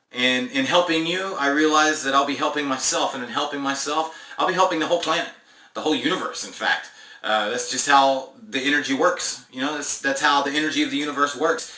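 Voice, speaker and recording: A man's fairly high, very fast voice with fairly even intonation, plus audible room echo and noticeable background noise. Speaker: spiritual self-help vlogger. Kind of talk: casual monologue vlog. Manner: halting with many fillers.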